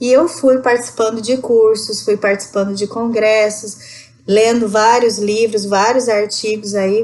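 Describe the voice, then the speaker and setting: A woman speaks at a fairly slow pace with hardly any pauses. Her fairly high voice stays monotone and flat. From Rondônia, northern Brazil. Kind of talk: podcast interview answer. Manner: conversational.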